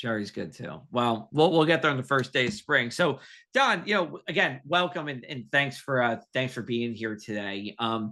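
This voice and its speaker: With a New Jersey accent, the voice has a bright, sharp tone and lively intonation, barely pausing at all. The background is quiet. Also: man, medium pitch for a man, moderate pace. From New Jersey, Union County. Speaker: talk show host. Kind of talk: casual chat.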